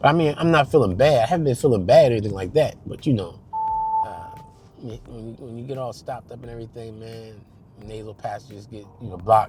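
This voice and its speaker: Talking at a very fast pace with big swings in loudness, a man with a medium pitch and ordinary pitch variation is heard over noticeable background noise. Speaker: vlogger. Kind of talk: casual vlog talk. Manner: halting, many fillers.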